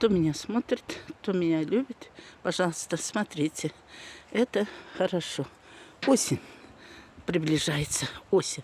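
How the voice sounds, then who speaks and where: Speaking in a Tatar accent, a woman talks at a fairly slow pace in a fairly low pitch, with lively intonation and long, frequent pauses. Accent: Tatar accent in Russian. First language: Tatar (speaking Russian). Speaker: gardening vlogger. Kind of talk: casual vlog.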